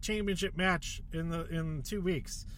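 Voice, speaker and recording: With lively intonation, a man talks at a moderate pace amid audible room echo. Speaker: wrestling podcast host. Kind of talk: casual solo commentary. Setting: in a car. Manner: filler-heavy, repetitive.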